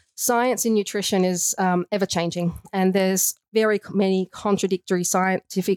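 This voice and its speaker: In an Australian accent, the speaker talks at a moderate pace with hardly any pauses, very even loudness and fairly even intonation, on a very clean recording with a silent background and a dry, close sound with no echo. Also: woman. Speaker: nutritionist. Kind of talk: casual interview. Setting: studio.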